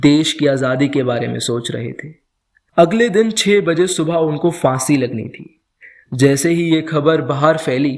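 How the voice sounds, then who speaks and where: The man has an ordinary speaking voice, fairly high in pitch, with ordinary pitch variation. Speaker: storyteller. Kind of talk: podcast story narration.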